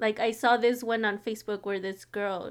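A woman's normal speaking voice, fairly high-pitched and fairly slow, in a very clean recording with a silent background. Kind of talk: casual chat.

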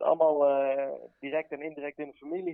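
Fairly even intonation and a fairly high pitch come from a man with an ordinary speaking voice. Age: 20s. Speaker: tattoo artist. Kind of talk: casual interview chat.

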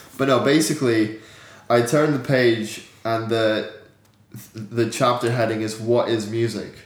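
A man speaks with fairly even intonation, leaving long, frequent pauses, and an echo from the room is audible. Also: medium pitch for a man, fairly slow pace. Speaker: podcast host. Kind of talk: casual chat.

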